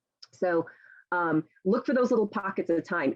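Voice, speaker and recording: A woman's fairly low voice with lively intonation. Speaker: college writing professor and author. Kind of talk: talk at a writers' meeting. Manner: fast; chatty.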